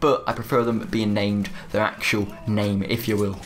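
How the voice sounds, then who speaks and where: A man speaks in a British accent. Noticeable background noise can be heard. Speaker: gaming YouTuber. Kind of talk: video game review. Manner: fast.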